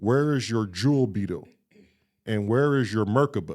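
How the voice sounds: Over a silent background in a very clean recording, a man uses a put-on character voice at medium pitch and a moderate pace.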